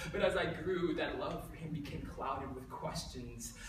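Light background noise and audible room echo around a man, moderate in pace, with ordinary pitch variation. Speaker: spoken word poet. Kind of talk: spoken word poetry performance. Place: hall.

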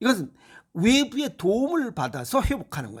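The speaker is a man. His tone is animated, with very wide pitch swings. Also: very clean recording, silent background. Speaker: health lecturer. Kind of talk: lecture.

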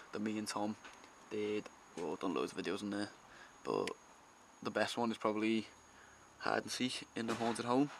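The speaker uses an ordinary speaking voice at a fairly quick pace with fairly even intonation. Light background noise sits behind it. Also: man. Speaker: urban explorer vlogger. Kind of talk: casual vlog chat. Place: empty room. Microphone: phone near.

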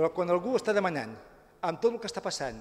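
Here a man talks with a high pitch. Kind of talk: press statement. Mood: critical, indignant. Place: hall. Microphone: podium.

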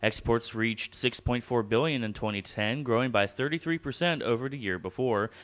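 Speaking at a moderate pace, a man has a medium pitch, ordinary pitch variation and a fairly bright tone.

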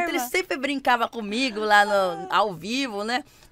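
A woman speaks with an animated tone and a fairly high pitch. The sound is dry, with no echo. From Campinas, interior of São Paulo; São Paulo state, Brazil. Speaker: dancer and TV stage assistant; podcast guest. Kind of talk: casual chat. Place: studio. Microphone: studio mic.

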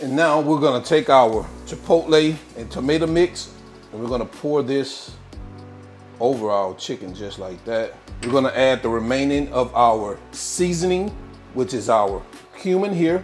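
A man speaks at a moderate pace with long, frequent pauses. Faint music plays in the background. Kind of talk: cooking tutorial. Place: kitchen.

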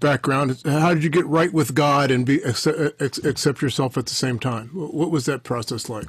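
A man with a fairly high pitch speaks at a moderate pace, somewhat breathy, against a quiet background. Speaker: podcast host. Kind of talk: interview. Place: office.

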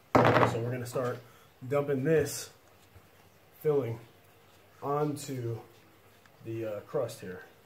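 In a room with audible echo, a man speaks slowly at a medium pitch with ordinary pitch variation and long, frequent pauses.

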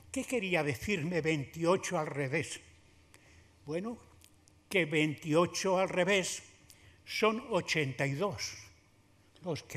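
The speaker is a man with a high pitch. His intonation rises and falls in a lively way. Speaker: honoured sculptor. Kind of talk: short emotional thank-you speech. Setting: theatre stage with audience. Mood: grateful, warm, humorous. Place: hall. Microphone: podium.

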